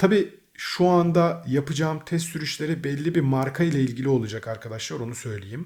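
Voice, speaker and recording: A man with a fairly high voice speaks at a moderate pace, barely pausing, his intonation lively and his tone somewhat breathy. The recording is very clean, with a silent background. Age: 30s. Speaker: gaming and car YouTuber. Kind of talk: casual vlog address to viewers. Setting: indoors at home.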